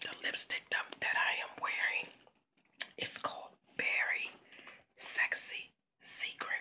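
The voice is whispering at a very slow pace. Long, frequent pauses break it up. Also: woman. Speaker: ASMR vlogger. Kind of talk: ASMR whispered video. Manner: soft, whispering. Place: home room. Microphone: phone near.

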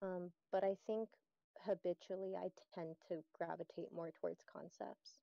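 A woman with medium pitch and a dark, mellow tone speaks at a fairly slow pace in monotone, flat intonation. The sound is dry with no echo, over a quiet background. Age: 20s. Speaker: interview guest with schizoid personality disorder. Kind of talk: interview. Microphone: video call.

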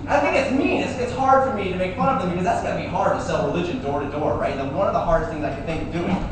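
Talking at a very fast pace with hardly any pauses, a man is heard through strong room echo and noticeable background noise. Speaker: stand-up comedian. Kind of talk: stand-up comedy routine. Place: bar. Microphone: camera far.

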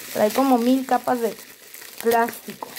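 A woman with a high pitch at a fairly slow pace, amid noticeable background noise. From Mexico. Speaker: nail art youtuber. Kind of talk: unboxing video. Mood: delighted, enthusiastic. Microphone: phone near.

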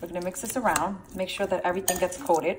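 A woman speaks over noticeable background noise. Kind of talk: casual cooking tutorial, Spanish-English mix. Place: kitchen. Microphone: phone near.

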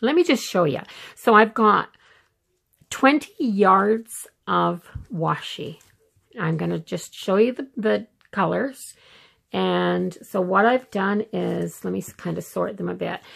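Against a quiet background, a woman speaks at a very slow pace with long, frequent pauses. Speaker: planner vlogger. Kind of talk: casual show-and-tell tutorial. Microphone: phone near.

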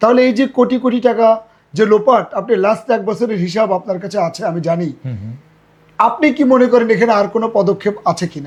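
A man with a high pitch speaks with ordinary variation in his pitch. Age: old. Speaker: local activist and teacher. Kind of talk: interview.

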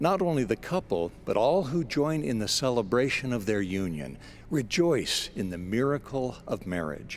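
This man has a medium pitch and a warm tone. His pitch swings very widely. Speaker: spoken-word broadcaster. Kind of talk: scripted inspirational spoken-word essay, read aloud. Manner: formal, warm and measured, unhurried and sincere; gentle, reflective, soothing cadence.

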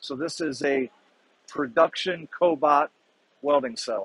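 Dry and free of echo, the recording has a man speaking at a fairly slow pace with ordinary pitch variation. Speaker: exhibitor sales engineer. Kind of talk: product demo explanation. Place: hall. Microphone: phone near.

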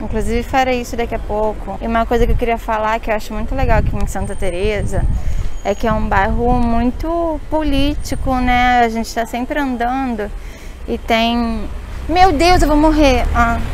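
Noticeable background noise sits under a dry recording with no echo. A woman speaks in a high pitch at a moderate pace, with ordinary pitch variation. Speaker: travel vlogger, journalist. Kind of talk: casual travel vlog talk to camera. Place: street. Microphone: phone near.

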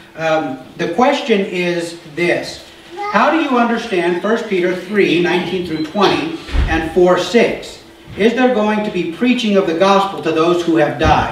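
In a room with audible echo and light background noise, a man talks at a fairly slow pace. His pitch is high, with ordinary pitch variation. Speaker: pastor. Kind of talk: sermon. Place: church.

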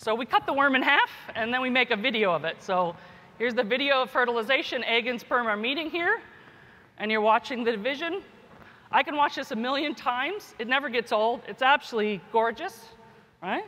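Her pitch high and her intonation lively, a woman speaks at a fairly quick pace. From US, Kentucky. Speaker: geneticist and professor; professor. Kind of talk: keynote speech. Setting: conference stage with audience. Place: hall.

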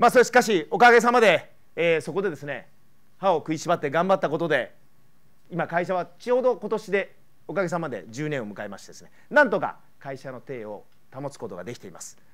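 Over a quiet background, a man speaks at a high pitch and a fairly quick pace. His pitch swings very widely and his loudness swings a lot. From Japan, Kyoto; Japan. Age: 50s. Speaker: politician and former pro triathlete; politician. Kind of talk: public speech. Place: hall. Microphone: lapel.

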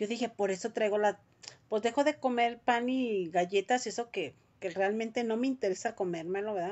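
A woman speaks with a Mexican accent. Her tone is animated. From Mexico. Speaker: vlogger. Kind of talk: casual chat. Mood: worried, expressive. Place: home room. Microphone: phone near.

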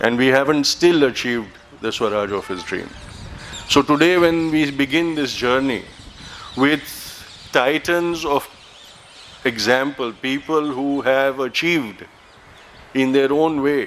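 A man at a fairly slow pace with long, frequent pauses and ordinary pitch variation, over light background noise. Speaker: event host giving welcome. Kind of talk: formal welcome speech. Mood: solemn, reflective. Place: garden. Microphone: podium.

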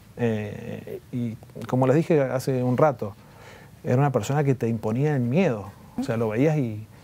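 Ordinary pitch variation marks this man's voice. He talks at a fairly slow pace. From Argentina, Mendoza; Argentina. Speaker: former tennis player. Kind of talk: interview. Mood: somber, recalling hard memories. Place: studio. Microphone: lapel.

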